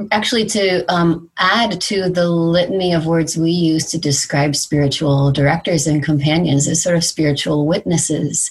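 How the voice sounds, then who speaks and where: A woman with a fairly low pitch speaks at a moderate pace. Her voice is somewhat breathy, and her loudness stays very even. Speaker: podcast interviewer. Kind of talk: interview.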